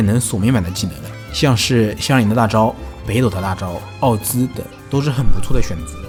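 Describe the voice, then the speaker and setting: The man's medium-pitched voice is heard with music in the background. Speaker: game guide creator. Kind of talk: game guide narration.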